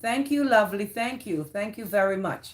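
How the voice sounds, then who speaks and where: A woman speaks with a Jamaican accent at a fairly high pitch. Her voice is somewhat breathy. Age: 50s. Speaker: live streamer. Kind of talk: casual chat.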